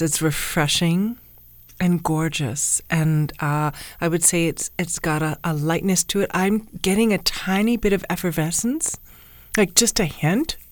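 A woman with an ordinary speaking voice talks at a fairly slow pace in a fairly low pitch, her intonation lively. The recording is very clean, with a silent background. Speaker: wine podcast co-host. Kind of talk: casual chat.

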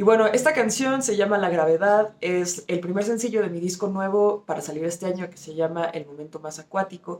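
This woman has a normal speaking voice at medium pitch. Her loudness swings widely. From Argentina and Mexico. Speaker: rock musician. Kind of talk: recorded song presentation.

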